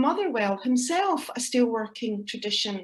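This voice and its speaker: A woman with a Scottish accent, high-pitched, at a fairly slow pace. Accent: Scottish (Ayrshire). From Scotland, Ayrshire. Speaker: academic researcher and poet. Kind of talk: conference presentation.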